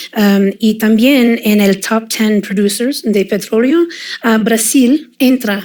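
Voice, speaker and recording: A woman's very slow, fairly high-pitched voice with very even loudness and a slight non-native accent. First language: English (speaking Spanish). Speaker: oil and gas industry expert. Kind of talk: panel discussion. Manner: hesitant, many fillers.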